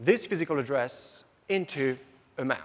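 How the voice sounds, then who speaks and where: With a French accent, a man speaks at a fairly high pitch and with lively intonation. The recording is very clean, with a silent background. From France. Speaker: software system engineer presenter. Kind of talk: conference presentation. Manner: fast.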